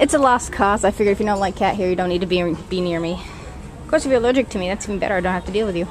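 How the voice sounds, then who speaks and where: A woman talks at a very fast pace with ordinary pitch variation over light background noise. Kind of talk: casual vlog chat. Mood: amused, chatty. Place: shop. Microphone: phone near.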